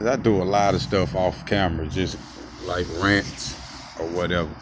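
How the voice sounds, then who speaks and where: Through noticeable background noise and audible room echo, a man with a very deep, low pitch speaks at a moderate pace with ordinary pitch variation. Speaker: street preacher and video blogger. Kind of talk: casual monologue. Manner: loud.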